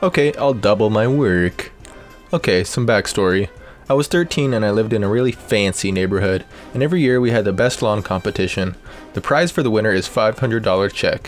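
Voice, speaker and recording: A man speaks at a fairly quick pace and a medium pitch with lively intonation. Music plays in the background. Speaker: voice actor. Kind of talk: reddit story narration.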